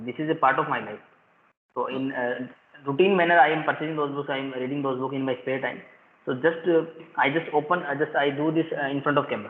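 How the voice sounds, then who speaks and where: At a very fast pace, a man talks with fairly even intonation. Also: fairly high pitch for a man. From India, Rajasthan. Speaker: school principal. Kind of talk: casual chat. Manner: halting.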